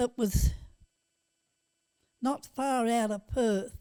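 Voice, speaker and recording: A woman with an Australian accent, a high pitch and a dark, mellow tone speaks very slowly with fairly even intonation. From Western Australia, Goldfields region near Kalgoorlie. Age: 80s+. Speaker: great-grandmother telling life stories. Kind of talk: casual interview chat. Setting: at home, on location.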